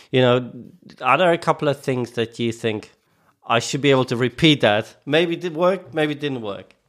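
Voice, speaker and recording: On a very clean recording with a silent background, a man of medium pitch with a plain, everyday voice talks at a moderate pace with ordinary pitch variation. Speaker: co-host interviewer. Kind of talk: casual interview chat.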